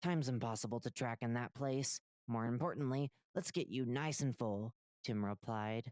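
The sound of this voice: Unforced reading voice, quiet background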